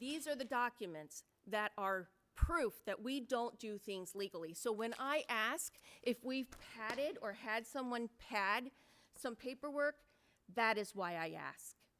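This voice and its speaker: Her voice is fairly high and bright with a sharp tone, and the woman speaks fairly slowly with lively intonation. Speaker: city council member. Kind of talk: heated debate. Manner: loud; animated.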